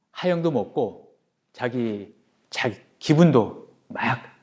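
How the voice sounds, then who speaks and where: Ordinary pitch variation from a man with a Jeju accent, in a very clean recording with a silent background. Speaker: dialect preservation society chairman. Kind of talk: interview answer.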